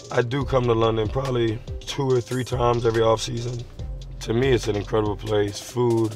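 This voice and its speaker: A man speaks at a moderate pace in a monotone, flat intonation, with a dry sound with no echo and faint music in the background. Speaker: vlog host. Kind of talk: casual vlog chat. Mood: relaxed, playful. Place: car.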